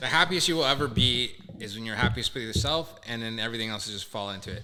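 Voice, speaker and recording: Speaking at a very fast pace, a man has a Canadian accent and a bright, sharp tone. His pitch varies in an ordinary way. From Canada, Toronto. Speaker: guest. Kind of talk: casual chat.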